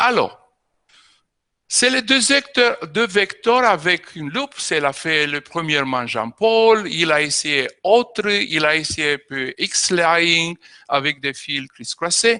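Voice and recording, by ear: The speaker talks at a slow pace with lively intonation, in a tone both clear and smooth yet bright and sharp. The sound is dry and close, with no echo. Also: man, fairly high pitch for a man.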